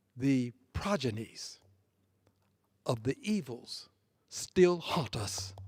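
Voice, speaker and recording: A somewhat breathy voice with very wide pitch swings. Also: man. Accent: American. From US South. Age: 70s. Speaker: congressman. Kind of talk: floor speech. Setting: legislative chamber. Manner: formal.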